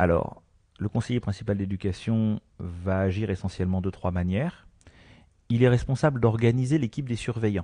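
Over a quiet background, a man speaks at a moderate pace with a fairly low pitch. His tone is dark and mellow, with ordinary pitch variation. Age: 40s. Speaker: school education counsellor. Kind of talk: radio interview by children.

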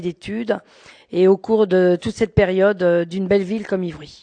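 A woman's medium-pitched voice in a dry, close sound with no echo. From central France (Berry, Cher), then Paris region from age 14. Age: 50s. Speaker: building caretaker. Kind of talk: interview. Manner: hesitant, with fillers.

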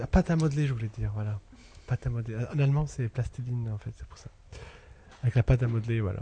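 At a very fast pace broken by long, frequent pauses, a man speaks at medium pitch with ordinary pitch variation and big swings in loudness. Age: 30s. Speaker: sculptor. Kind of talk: interview. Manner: halting, searching for words.

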